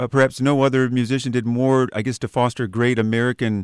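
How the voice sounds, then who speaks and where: A man's unremarkable speaking voice at medium pitch and a fairly quick pace, on a very clean recording with a silent background. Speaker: radio interviewer. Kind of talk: interview questions.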